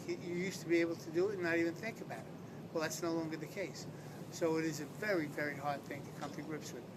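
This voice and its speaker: Over noticeable background noise and audible room echo, a man talks very fast with an American accent. His pitch is high. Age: 60s. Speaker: retired police detective, stroke patient. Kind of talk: interview testimony. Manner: halting.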